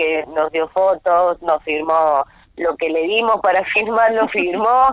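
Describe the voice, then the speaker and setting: A woman with a fairly low pitch and an unremarkable speaking voice talks at a fairly slow pace with ordinary pitch variation. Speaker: radio columnist. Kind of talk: phone interview. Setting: phone call. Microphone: phone line.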